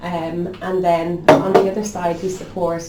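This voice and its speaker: Noticeable background noise and audible room echo surround a woman with an Irish accent and a fairly low-pitched voice. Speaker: local radio station manager. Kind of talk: podcast interview. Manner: fast.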